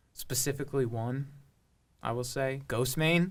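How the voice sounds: With an American accent, a man speaks at a fairly slow pace in a medium pitch, using ordinary pitch variation and a fairly bright tone.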